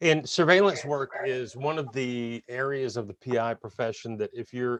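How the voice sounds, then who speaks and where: A man's unremarkable speaking voice at a moderate pace and medium pitch, with ordinary pitch variation, a quiet background, and a dry, close sound with no echo. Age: 50s. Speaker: webinar host. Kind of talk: webinar interview.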